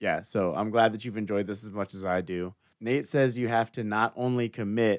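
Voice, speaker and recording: In a very clean recording with a silent background, a man with an American accent has a normal speaking voice. His pitch is fairly low, his intonation fairly even and his pace moderate. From Florida. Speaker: podcast host. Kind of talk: casual interview.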